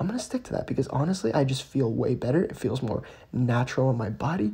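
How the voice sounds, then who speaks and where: Soft-spoken, the voice moves at a very fast pace over noticeable background noise. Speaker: fitness vlogger. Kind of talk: casual training vlog. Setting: at home at night, family in house. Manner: quiet, talking softly.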